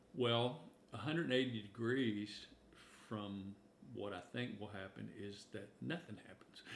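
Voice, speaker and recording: A man with vocal fry speaks fairly slowly at a fairly low pitch, his intonation lively and his loudness swinging widely, with audible room echo. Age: 70s. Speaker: minister. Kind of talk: casual chat.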